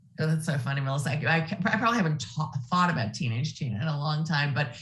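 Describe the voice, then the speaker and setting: In audible room echo, a woman speaks in a very deep, low pitch, somewhat breathy, with lively intonation. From US Midwest, Ohio. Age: 60s. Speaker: nonprofit executive. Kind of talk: interview.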